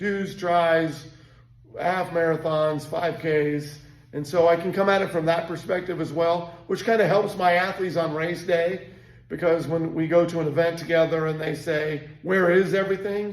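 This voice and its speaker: A man speaks at a high pitch and a moderate pace in a monotone, flat delivery. Room echo can be heard. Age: 60s. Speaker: endurance coach and race director. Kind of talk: casual monologue.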